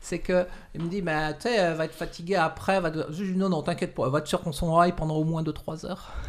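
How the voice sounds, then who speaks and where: Fairly even intonation at a very fast pace. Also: woman, fairly low pitch for a woman. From France. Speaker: shibari instructor. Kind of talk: interview. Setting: studio.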